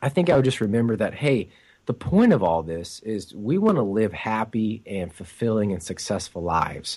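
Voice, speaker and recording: In an ordinary speaking voice, a man with fairly low pitch talks at a moderate pace with lively intonation against a quiet background. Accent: American. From United States. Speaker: inspirational speaker and author. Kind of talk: interview.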